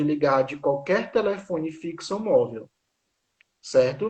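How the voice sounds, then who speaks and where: At a fairly slow pace, a man talks in a plain, everyday voice pitched fairly high. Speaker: law professor. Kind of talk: informational talk on a live stream. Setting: online live stream.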